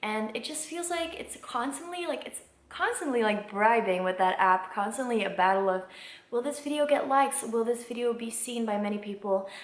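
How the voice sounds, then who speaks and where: A woman at a fairly high pitch and fairly quick pace with lively intonation, in audible room echo. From Belgium. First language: not English. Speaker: singer-songwriter, vlogger. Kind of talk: casual vlog monologue. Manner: hesitant, many fillers.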